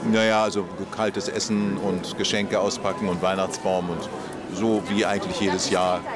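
Clear music plays in the background as the speaker talks at a moderate pace, and the sound is dry with no echo. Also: man. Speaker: actor and voice actor. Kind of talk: red carpet interview answer. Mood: relaxed, thoughtful. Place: street.

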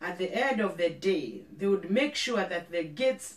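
A woman talks at a fairly slow pace, and audible room echo is present. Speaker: pastor. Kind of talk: sermon. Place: studio.

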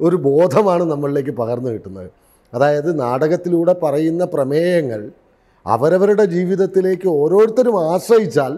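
Against a quiet background, a man speaks with a high pitch, a dark, mellow tone and lively intonation. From Kerala, India. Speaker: theatre director; interviewee. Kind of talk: interview monologue. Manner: formal. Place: studio. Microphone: lapel.

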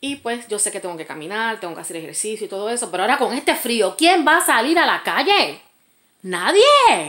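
A woman speaks at a fairly quick pace in a fairly high voice, with very wide pitch swings and big swings in loudness. The background is quiet. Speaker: vlogger. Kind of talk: casual storytime rant, angry venting about an ex, direct to camera. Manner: indignant, sarcastic, emphatic, dismissive. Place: home room. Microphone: phone near.

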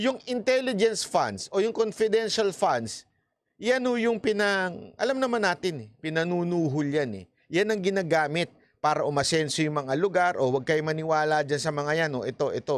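His pitch is high and swings very widely as a man talks at a moderate pace. The sound is dry, with no echo. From Philippines. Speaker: news commentator. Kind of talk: heated political commentary, angry rant. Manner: rhetorical questions, mocking. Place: studio. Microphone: studio mic.

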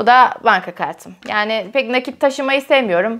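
A woman at a moderate pace against a quiet background. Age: 20s. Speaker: YouTuber. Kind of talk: casual vlog chat. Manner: frequent laughter. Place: home room.

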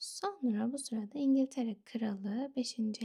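Soft-spoken and calm, a woman talks in a dark, mellow tone with a fairly high pitch and fairly even intonation. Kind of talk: ASMR history storytelling narration. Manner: soft-spoken, calm.

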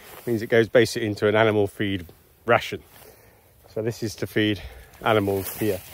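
A man talks at a fairly quick pace in a dry sound with no echo. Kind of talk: casual explanatory vlog. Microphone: phone near.

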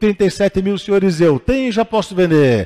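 A man talks with a high pitch and a dark, mellow tone. His intonation is lively, and the background is quiet. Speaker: auctioneer. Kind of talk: auction calling of bids. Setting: live auction hall with in-person and online bidders. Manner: formal, addresses bidders as senhores. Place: street.

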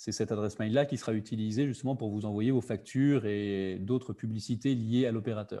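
A man's dark, mellow tone at a medium pitch, fairly quick and with hardly any pauses, in fairly even intonation. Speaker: digital literacy workshop facilitator. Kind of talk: online workshop presentation. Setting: video call. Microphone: webcam.

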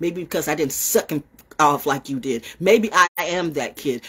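A woman speaks in an animated tone with very wide pitch swings. The background is quiet. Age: 60s. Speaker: online broadcaster. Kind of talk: casual monologue livestream. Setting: outdoors. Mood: confrontational, defiant. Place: home room. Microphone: phone near.

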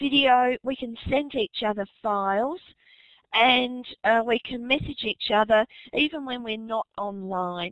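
A woman with an Australian accent speaks at a fairly slow pace in a high pitch, with ordinary pitch variation. The background is quiet and the sound is dry with no echo. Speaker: teacher and webinar moderator. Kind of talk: webinar moderation. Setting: online webinar. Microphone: video call.

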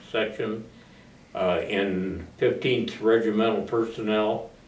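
In an American accent, a man speaks fairly slowly with a fairly low pitch and fairly even intonation, and the room echo can be heard. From US Midwest (northeastern Iowa). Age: 80s+. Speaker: war veteran. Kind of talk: oral history interview. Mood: warm, reflective. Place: empty room.

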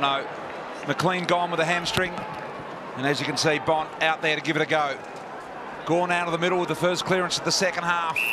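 Noticeable background noise sits under a dry sound with no echo as a man talks at a fairly quick pace with long, frequent pauses. His high voice is monotone and flat. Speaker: football commentator. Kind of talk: live commentary. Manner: measured, conversational calls, with occasional wry humour.

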